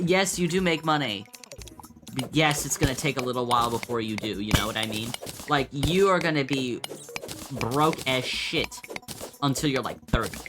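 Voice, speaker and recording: Moderate pace with long, frequent pauses, and music in the background. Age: 20s. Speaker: gaming streamer. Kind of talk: casual gameplay commentary. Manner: rambling, halting with fillers.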